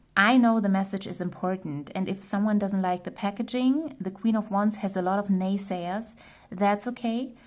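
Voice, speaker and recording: In a very clean recording with a silent background, a woman speaks at medium pitch and a moderate pace, her voice somewhat breathy. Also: ordinary pitch variation. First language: not English. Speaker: tarot reader. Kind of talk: tarot reading monologue. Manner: casual with fillers and self-corrections.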